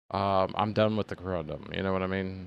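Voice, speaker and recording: A man talks at a moderate pace. Behind him the background stays quiet. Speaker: gaming streamer. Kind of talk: casual gameplay commentary. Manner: rambling conversational.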